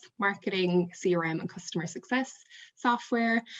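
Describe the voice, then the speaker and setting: A woman with an Irish accent speaks at medium pitch. She moves at a moderate pace, with ordinary pitch variation. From Ireland. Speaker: marketing manager. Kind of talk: webinar presentation.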